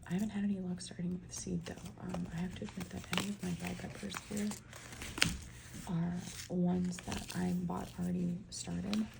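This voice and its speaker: Soft-spoken and whispering, a woman speaks at a moderate pace with long, frequent pauses over noticeable background noise. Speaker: ASMR creator, home gardener. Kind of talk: soft-spoken ASMR ramble. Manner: soft-spoken, whispering, chatty.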